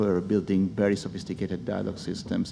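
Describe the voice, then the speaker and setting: A man talks with an Italian accent. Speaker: speech technology executive. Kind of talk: conference panel talk. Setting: stage with audience.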